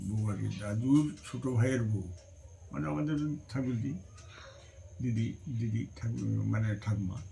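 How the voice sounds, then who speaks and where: With lively intonation, the voice has a dark, mellow tone and is somewhat breathy. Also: man, fairly low pitch for a man. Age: old. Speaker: grandfather. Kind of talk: interview answer, family storytelling.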